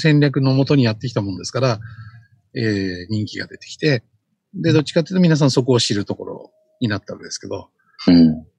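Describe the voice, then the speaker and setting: This man's medium-pitched voice has a dark, mellow tone and is somewhat breathy. His pitch swings very widely at a fairly quick pace. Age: 50s. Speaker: social media consultant. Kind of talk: casual chat.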